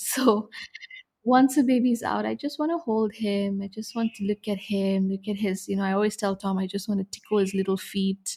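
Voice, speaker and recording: A woman's somewhat breathy voice at medium pitch, with a Tamil accent, moderate pace and ordinary pitch variation. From India. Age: young. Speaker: expectant mother. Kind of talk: interview.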